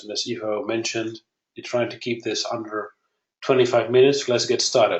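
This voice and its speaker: A man with a Dutch accent speaks with fairly even intonation. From Netherlands. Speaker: software company founder. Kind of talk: webinar presentation. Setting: online webinar.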